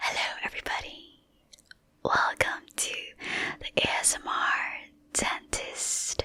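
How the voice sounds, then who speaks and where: Whispering comes at a very slow pace. Noticeable background noise sits behind it. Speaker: dentist. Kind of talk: ASMR educational talk. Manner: whispered.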